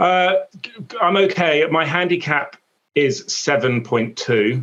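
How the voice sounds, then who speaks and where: A man's fairly high voice at a fairly slow pace, with lively intonation. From England. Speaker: sports broadcaster. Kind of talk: casual interview chat. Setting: video call. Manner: stutters, halting.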